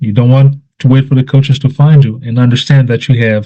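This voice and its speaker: Somewhat breathy, a man's dark, mellow tone holds a medium pitch with fairly even intonation. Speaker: youth soccer advisor presenting a guide. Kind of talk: presentation. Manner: fast; hesitant with fillers.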